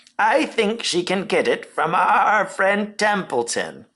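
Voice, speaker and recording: Speaking fairly slowly, a man puts on a character voice pitched high. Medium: read story.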